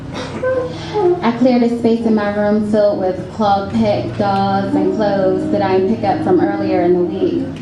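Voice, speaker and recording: With hardly any pauses, a woman talks over noticeable background noise. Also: fairly slow pace, very even loudness. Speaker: spoken word poet. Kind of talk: spoken word performance. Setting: live reading at a cafe event.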